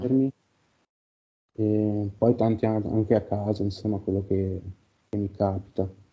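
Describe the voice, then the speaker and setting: A man with a fairly low pitch speaks fairly slowly in a monotone, flat way, with long, frequent pauses. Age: 30s. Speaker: carpenter and session client. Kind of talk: casual chat. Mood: reflective, calm. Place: home room.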